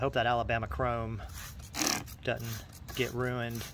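The speech keeps a moderate pace while loud background noise fills the recording. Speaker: DIY video host. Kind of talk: casual tutorial narration. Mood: upbeat, joking. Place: garden.

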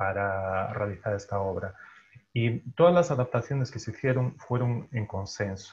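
Somewhat breathy, a man speaks at a fairly low pitch and a fairly slow pace. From Galicia, Spain. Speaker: translator and journalist. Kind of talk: panel discussion. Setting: video call. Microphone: earbuds.

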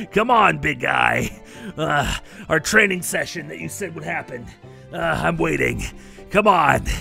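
A whiny, put-on character voice moves at a fairly slow pace with long, frequent pauses. Clear music plays in the background. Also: man. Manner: forlorn, whiny, then hopeful.

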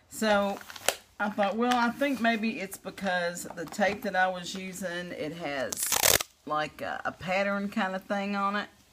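An American accent marks this woman's fairly slow speech, which has ordinary pitch variation. Background noise is noticeable. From US South. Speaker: craft video creator; crafter demonstrating. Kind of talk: tutorial; casual tutorial chat. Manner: casual with fillers. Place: home room. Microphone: phone near.

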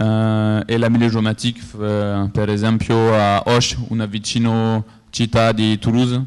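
In a quiet background, a man with a fairly low pitch speaks fairly slowly in a monotone, flat intonation. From France. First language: French (speaking Italian). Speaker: conference speaker, geographic information coordinator; conference speaker. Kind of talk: conference presentation. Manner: halting, many hesitations. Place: hall.

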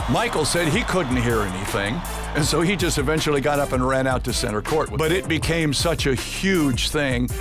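Lively intonation from a man at a moderate pace, with clear music in the background. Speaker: public address announcer. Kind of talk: casual interview answer, reminiscing about career. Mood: warm, proud, nostalgic. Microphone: headset.

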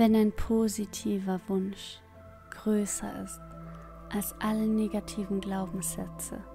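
Music plays in the background as a woman speaks. Her pace is very slow and her tone calm. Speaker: meditation guide. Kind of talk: guided meditation. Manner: calm, slow.

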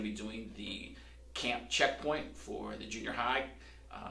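The speech moves at a fairly slow pace. Room echo can be heard. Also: man. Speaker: pastor. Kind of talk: church announcements to camera. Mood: warm, cheerful. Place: church.

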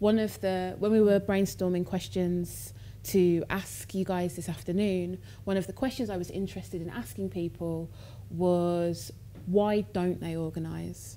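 The tone is dark and mellow at a moderate pace. Light background noise sits behind it. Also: woman. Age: 20s. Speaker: artist. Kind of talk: public conversation. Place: stage.

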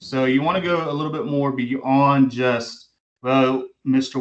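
A quiet background behind a man's voice. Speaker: college English instructor. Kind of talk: lecture. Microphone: video call.

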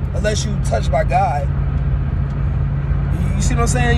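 A man talking at a very fast pace, with a dry sound without echo and loud background noise. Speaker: vlogger. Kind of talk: casual vlog chat, social commentary. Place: car. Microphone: phone near.

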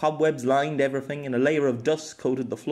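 Fairly even intonation in an unforced reading voice.

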